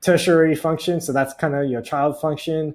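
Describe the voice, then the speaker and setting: A man with an Australian accent is heard in a very clean recording with a silent background. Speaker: personality type educator. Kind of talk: tutorial. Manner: hesitant, many fillers.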